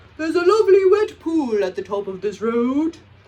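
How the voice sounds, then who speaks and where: A put-on character voice, croaky and high-pitched, moves at a fairly quick pace. Its pitch swings very widely. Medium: read story.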